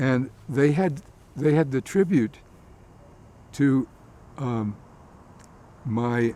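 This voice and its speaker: A dark, mellow-toned man with an American accent, at a very slow pace with long, frequent pauses. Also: medium pitch for a man, ordinary pitch variation. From US Appalachia, Logan, West Virginia. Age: 80s+. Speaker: interviewee. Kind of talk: interview. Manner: halting, with repeated words.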